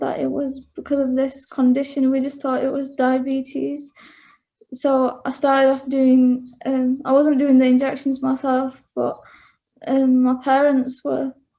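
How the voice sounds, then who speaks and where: A woman with a Mancunian accent speaks at a high pitch in a dark, mellow tone. Her pace is fairly slow. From northern England, Bury near Manchester. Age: 20s. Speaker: interviewee sharing personal experience. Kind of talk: interview. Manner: halting, many fillers.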